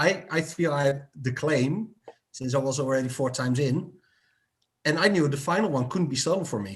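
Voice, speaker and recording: A somewhat breathy man talks at a moderate pace, his fairly high pitch showing ordinary pitch variation. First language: not English. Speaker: game show contestant. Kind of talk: casual chat. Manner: halting, repeats words.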